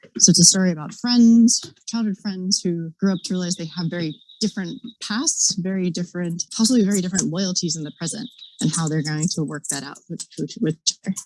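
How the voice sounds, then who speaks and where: Fairly quick pace, somewhat breathy delivery, dark, mellow tone, ordinary pitch variation, big swings in loudness, dry, close sound with no echo. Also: woman, medium pitch for a woman. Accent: American. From US South, North Carolina. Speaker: author. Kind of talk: interview. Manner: hesitant, many fillers.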